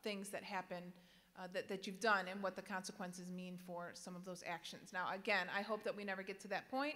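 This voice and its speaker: Her pace is fairly quick. The woman's intonation holds fairly even. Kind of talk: address to students. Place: hall. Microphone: podium.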